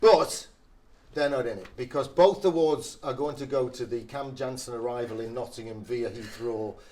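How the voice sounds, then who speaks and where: With a slight northeast English accent, a man speaks at a moderate pace in a medium pitch, his dark, mellow tone showing ordinary pitch variation and big swings in loudness. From northeast England. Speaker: club media host. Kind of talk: casual chat.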